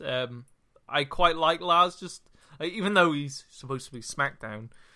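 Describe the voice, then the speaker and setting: The speaker talks at a moderate pace with a Welsh accent. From Wales. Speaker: podcast co-host. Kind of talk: casual banter podcast.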